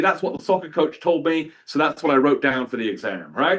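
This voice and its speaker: In a British accent, a man talks with an animated tone. His intonation is lively. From southern England, outside London. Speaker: historian. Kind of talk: lecture.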